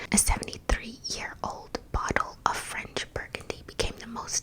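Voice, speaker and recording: Whispering at a fairly slow pace over noticeable background noise. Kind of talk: ASMR fact reading. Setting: home studio microphone. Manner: whispered.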